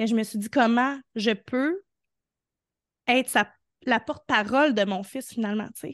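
In a Quebec accent, a woman speaks at a fairly high pitch with ordinary pitch variation, big swings in loudness, and long, frequent pauses. The sound is dry and close with no echo, over a quiet background. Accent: Québécois French. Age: 30s. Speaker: entrepreneur in the arts, mother. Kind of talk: casual interview.

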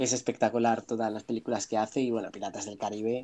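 Over a quiet background, a man speaks with a medium-pitched voice, a dark, mellow tone and fairly even intonation. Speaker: friend of host. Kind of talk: casual chat.

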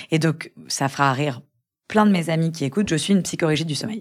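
On a very clean recording with a silent background, a woman with a fairly low pitch talks at a moderate pace with ordinary pitch variation. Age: 30s. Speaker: lawyer and young mother who lost her twin. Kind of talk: personal testimony in interview. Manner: halting with repetitions and fillers.

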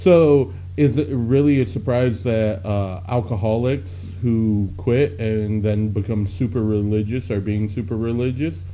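With hardly any pauses, a man speaks at a fairly slow pace in a fairly low pitch, using ordinary pitch variation and a plain, everyday voice. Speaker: podcast host. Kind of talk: casual banter. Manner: joking, self-deprecating.

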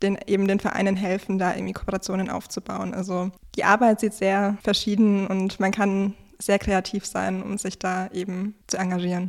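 A woman of medium pitch speaks in a monotone, flat way at a moderate pace, on a very clean recording with a silent background. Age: 20s. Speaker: chair of a regional youth sports association. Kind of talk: interview.

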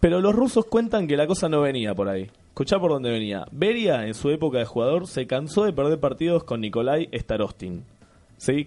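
Over music in the background, a man speaks in a Rioplatense accent with a fairly high pitch. He talks at a fairly quick pace, with very wide pitch swings. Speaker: comedy podcast host. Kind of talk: casual comedic chat.

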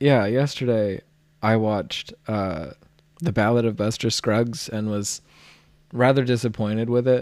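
Using a plain, everyday voice, a man speaks at a fairly slow pace with a medium pitch and ordinary pitch variation. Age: 20s. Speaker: podcast co-host. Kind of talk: casual chat.

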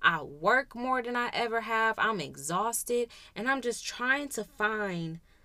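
Speaking at a fairly slow pace, a woman uses lively intonation and a bright, sharp tone, recorded very cleanly against a silent background. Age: 20s. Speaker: podcast host. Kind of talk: casual monologue.

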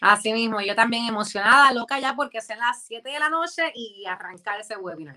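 A plain, everyday voice from a woman, fairly high in pitch, with lively intonation, fairly quick pace, hardly any pauses and big swings in loudness. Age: 30s. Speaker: influencer and former dancer and model. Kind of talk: interview.

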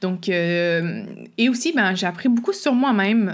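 A woman speaks in a Quebec accent. Her pitch is medium and her intonation lively. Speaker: podcast host, hiking coach. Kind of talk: solo podcast monologue. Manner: casual with frequent fillers and laughs.

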